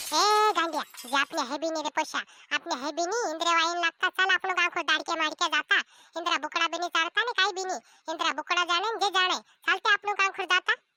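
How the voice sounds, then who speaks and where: Doing a cartoonish character voice, a woman squeaks at an extremely high pitch with ordinary pitch variation and a fairly quick pace, the sound dry and close with no echo. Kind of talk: comic village dialect banter. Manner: nagging, colloquial.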